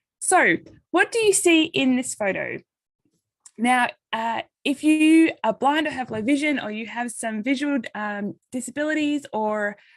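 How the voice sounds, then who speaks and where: A woman with an Australian accent talks at a fairly slow pace. Her voice is high-pitched with lively intonation. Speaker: occupational therapist and nonprofit coordinator. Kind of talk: presentation. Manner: halting.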